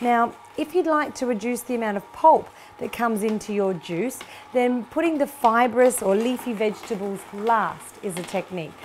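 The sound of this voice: A woman speaks at a moderate pace in a fairly high voice, with few pauses. Faint background noise sits behind her. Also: ordinary pitch variation.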